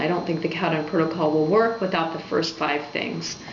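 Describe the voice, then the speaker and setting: A woman's fairly even voice amid noticeable background noise and audible room echo. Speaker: health blogger. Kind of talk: informational talk to camera.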